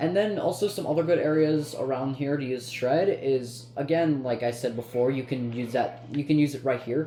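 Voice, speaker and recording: This man's voice has a dark, mellow tone and is somewhat breathy, sitting at medium pitch with ordinary pitch variation and a moderate pace. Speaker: gaming content creator. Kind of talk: gameplay tutorial commentary. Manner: halting, many fillers and restarts.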